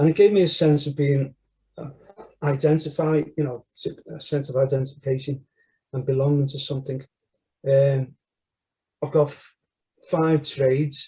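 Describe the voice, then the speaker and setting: This man's voice sits fairly high, somewhat breathy, with a dark, mellow tone and flat, monotone intonation. His loudness swings widely, and he leaves long, frequent pauses. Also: moderate pace. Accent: Liverpool. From northern England, Liverpool (Everton). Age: 60s. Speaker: church member interviewee. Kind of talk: testimony interview. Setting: recorded interview.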